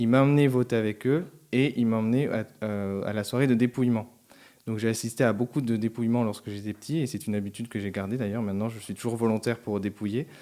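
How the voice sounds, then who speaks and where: A man talks at a very fast pace in a dark, mellow tone with fairly even intonation, on a very clean recording with a silent background. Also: medium pitch for a man. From southern France, Albi (Tarn). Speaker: senate civil servant. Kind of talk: interview.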